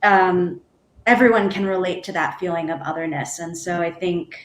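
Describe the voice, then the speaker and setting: This is an unremarkable speaking voice with an American accent. The pace is fairly slow and the intonation fairly even. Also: woman. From United States. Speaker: theatre artist. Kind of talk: panel discussion.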